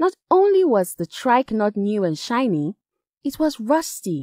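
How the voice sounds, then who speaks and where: A woman with a West African accent and very wide pitch swings, in a dry, close sound with no echo and a very clean recording with a silent background. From Nigeria. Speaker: voice actor. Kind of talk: children's story reading.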